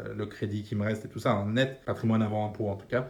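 A man speaks at a fairly low pitch in a somewhat breathy voice. Room echo is audible. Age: 30s. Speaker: personal finance podcaster. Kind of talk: casual monologue. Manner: casual, filler-heavy.

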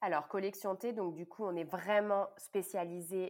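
A woman with a medium pitch at a very slow pace, her intonation fairly even. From southern France, Cannes. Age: 30s. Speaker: tea business founder. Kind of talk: interview conversation. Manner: hesitant with repetitions.

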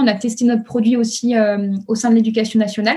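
This woman's voice sits at a fairly high pitch. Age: 30s. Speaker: startup founder. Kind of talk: interview. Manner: hesitant, many fillers.

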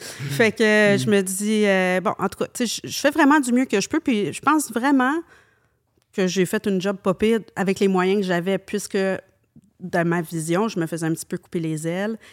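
A woman with a Quebec accent speaks at a fairly slow pace with lively intonation. The sound is dry and close with no echo, on a very clean recording with a silent background. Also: medium pitch for a woman. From Quebec, Montreal. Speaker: hairdresser and salon owner. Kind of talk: casual interview.

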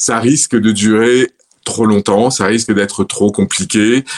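The man speaks at a very slow pace. Noticeable background noise can be heard. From Provence, southern France (Orange, Vaucluse). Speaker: retired French expat, city guide. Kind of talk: casual interview. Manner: hesitant, many fillers and repeated words.

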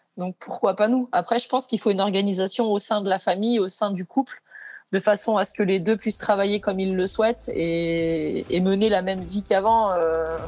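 A woman speaks at a moderate pace and medium pitch with fairly even intonation. The background is quiet. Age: 30s. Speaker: house painter and team leader. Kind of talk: interview. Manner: hesitant with frequent fillers.

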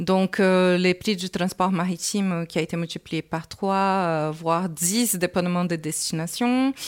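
A woman's voice with fairly even intonation in a dry, close sound with no echo. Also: medium pitch for a woman. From Brazil. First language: Portuguese (speaking French). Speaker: entrepreneur. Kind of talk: interview. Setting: business incubator building, walking tour.

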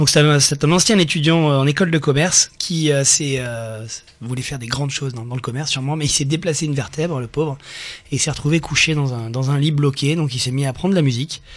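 A man talks very fast in a fairly high voice, and his pitch varies in an ordinary way. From Nice, France. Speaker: ukulele player and blogger. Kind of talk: casual chat. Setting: studio.

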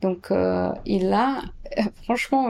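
This woman has a medium pitch and a dark, mellow tone. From Brazil, São Paulo. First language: Portuguese (speaking French). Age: 30s. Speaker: architect and urban planner. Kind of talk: interview answers. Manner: hesitant, many fillers.

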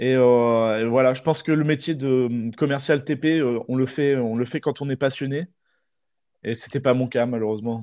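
At a moderate pace, this is an ordinary speaking voice with fairly even intonation. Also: man, medium pitch for a man. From Normandy, France. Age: 20s. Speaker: aspiring record shop owner. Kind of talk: interview.

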